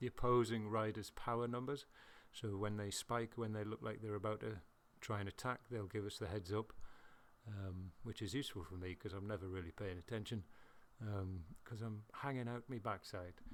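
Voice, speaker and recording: A man with a British accent talks at a moderate pace. His fairly low voice keeps a fairly even intonation. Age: middle-aged. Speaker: video game racing commentator. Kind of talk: casual gameplay commentary. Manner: halting, stuttering at times.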